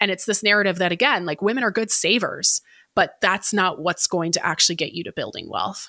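Woman with an American accent, medium pitch, bright, sharp tone, fairly even intonation and a fairly quick pace, in a dry, close sound with no echo on a very clean recording with a silent background. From United States. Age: 20s. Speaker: financial educator. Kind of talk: interview.

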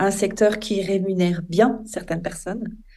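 Audible room echo surrounds a woman's medium-pitched voice with its dark, mellow tone. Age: 50s. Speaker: environmental association founder. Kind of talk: interview.

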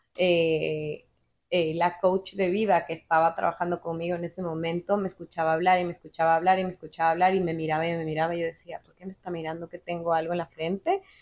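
A woman speaks very fast in a fairly low, monotone voice, her loudness swinging widely. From Ecuador. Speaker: podcast guest, office worker and amateur painter. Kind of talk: casual chat. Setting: at the guest's home.

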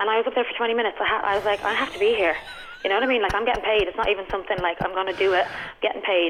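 Over noticeable background noise, a woman talks at a very fast pace in a medium pitch with fairly even intonation. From Dublin, Ireland. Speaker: comedian. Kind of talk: casual chat, telling stories about bad gigs.

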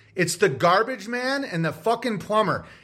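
A man projects a raised voice with a bright, sharp tone and lively intonation at a moderate pace. The recording is very clean, with a silent background. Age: 40s. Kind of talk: angry rant. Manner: fired up, insistent, profane.

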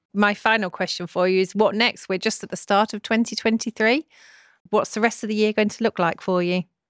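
A woman with a normal speaking voice talks at a fairly quick pace in a medium pitch with fairly even intonation, the sound dry and close with no echo in a very clean recording with a silent background. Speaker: tech podcast co-host. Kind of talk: interview and news reading.

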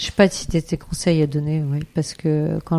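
In a dry, close sound with no echo, a woman speaks at a moderate pace with a very deep, low pitch and a dark, mellow tone. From France, Eure-et-Loir. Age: 50s. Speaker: member of parliament. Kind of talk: interview. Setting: constituency office. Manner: halting, many fillers and repetitions.

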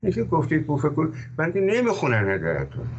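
With very wide pitch swings, a man speaks at a moderate pace. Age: 80s+. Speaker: scholar and economist. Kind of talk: interview.

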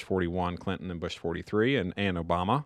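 With a Tennessee accent and a very deep, low pitch, a man speaks at a fairly quick pace with fairly even intonation. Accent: Southern US (Tennessee). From East Tennessee. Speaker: former government China policy official. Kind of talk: casual chat.

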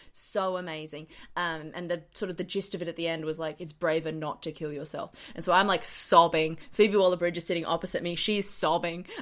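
A woman with an Australian accent speaks at a fairly quick pace in a fairly low, flat monotone, her loudness swinging a lot, on a very clean recording with a silent background. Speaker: comedian. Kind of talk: casual chat.

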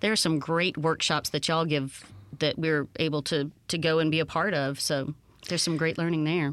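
A woman with a Mississippi accent speaks at a moderate pace in a very deep, low voice with flat, monotone intonation. Her loudness stays very even on a very clean recording with a silent background. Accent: Mississippi Southern. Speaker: voiceover artist, actress and puppeteer. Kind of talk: casual interview. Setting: radio studio.

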